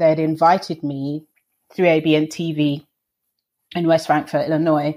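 Over a very clean recording with a silent background, a woman with a London accent speaks at a fairly slow pace in a very deep, low pitch. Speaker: vegan chef and TV presenter. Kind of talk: interview.

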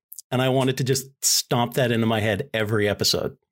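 A man speaks in an unremarkable speaking voice at a medium pitch, with fairly even intonation. The recording is very clean, with a silent background. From US Northeast. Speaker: podcast host, guest. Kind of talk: casual chat.

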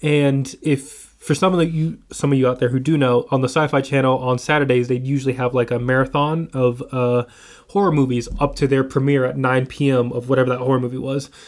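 A man speaks with a normal speaking voice at medium pitch, fairly quickly. His intonation is fairly even and his loudness very even. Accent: American. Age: 20s. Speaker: film student and horror fan. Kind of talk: casual chat. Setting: in-person recording in an office, one shared microphone.

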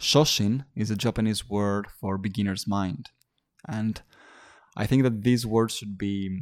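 On a very clean recording with a silent background, a man speaks at a fairly slow pace in a fairly low pitch. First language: not English. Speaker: fitness podcast host and personal trainer. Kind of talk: motivational monologue. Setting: solo recording.

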